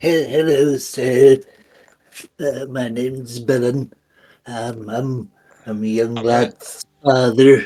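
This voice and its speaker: Using a put-on character voice at a medium pitch, a man speaks very slowly, leaving long, frequent pauses. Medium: actual play. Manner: folksy, old-fashioned.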